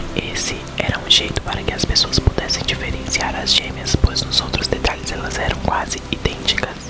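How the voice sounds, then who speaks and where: A man whispers over noticeable background noise. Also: moderate pace, hardly any pauses. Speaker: ASMR content creator. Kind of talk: whispered reading aloud of a children's horror book.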